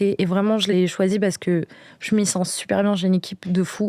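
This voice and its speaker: A woman with a dark, mellow tone, flat monotone intonation and a fairly quick pace, in a very clean recording with a silent background and a dry, close sound with no echo. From Brittany, France. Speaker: podcast guest. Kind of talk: casual interview. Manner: hesitant, many fillers.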